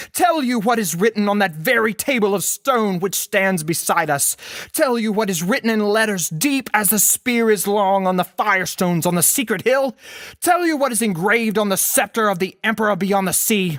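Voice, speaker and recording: In a put-on character voice, a female-sounding speaker growls at a moderate pace in a shrill, angry tone at medium pitch. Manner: angry, accusing.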